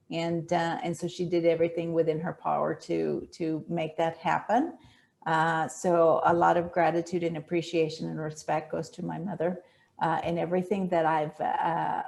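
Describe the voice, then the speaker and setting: Vocal fry runs through a woman's fairly low voice at a moderate pace. Her intonation is monotone and flat. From northern Mexico, raised in Texas from childhood. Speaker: business owner and Spanish linguist. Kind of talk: casual interview chat. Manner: halting, many fillers and repetitions.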